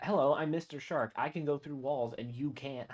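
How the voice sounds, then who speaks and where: At a moderate pace, a man performs a put-on character voice pitched fairly high. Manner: playful, teasing.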